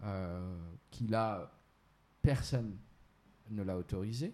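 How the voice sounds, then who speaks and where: A man with a fairly low pitch and a dark, mellow tone talks with ordinary pitch variation. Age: 30s. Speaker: entrepreneur and Islamic finance specialist. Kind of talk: explanatory interview. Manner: hesitant, many fillers.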